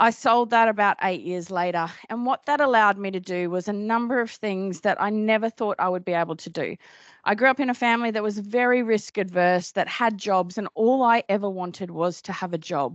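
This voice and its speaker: A woman speaks with a strong Australian accent. Her pace is fairly quick, with ordinary pitch variation. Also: medium pitch for a woman. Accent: broad Australian. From Australia, Cairns (north Queensland). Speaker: business owner and dietitian. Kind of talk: conference talk. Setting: stage with audience. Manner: casual, chatty.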